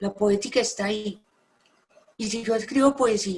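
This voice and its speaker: A woman speaks with a somewhat breathy, fairly high voice. Her pitch varies an ordinary amount. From Colombia. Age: 60s. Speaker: poet and novelist. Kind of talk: conversation about poetry.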